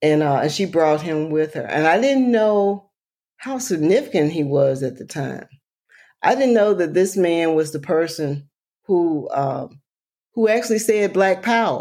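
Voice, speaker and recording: In a very clean recording with a silent background, a woman with a fairly low pitch speaks fairly slowly with lively intonation in an Alabama accent. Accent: Southern US, Alabama. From US South, rural Alabama. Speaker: environmental health advocate and author. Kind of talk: interview conversation.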